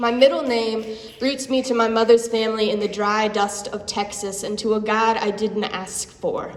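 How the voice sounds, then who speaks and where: Noticeable background noise sits behind a woman's fairly high voice. She speaks at a moderate pace with monotone, flat intonation. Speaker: slam poet. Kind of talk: spoken word poetry performance. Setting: live venue.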